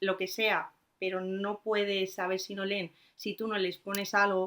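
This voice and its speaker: A woman talks at a fairly slow pace and medium pitch, her tone bright and sharp. The recording is very clean, with a silent background. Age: 20s. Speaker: secondary school literature teacher. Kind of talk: casual chat.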